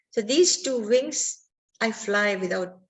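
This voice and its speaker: Her voice is somewhat breathy, and this woman's intonation is lively. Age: 60s. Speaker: artist. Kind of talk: interview. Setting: live online event.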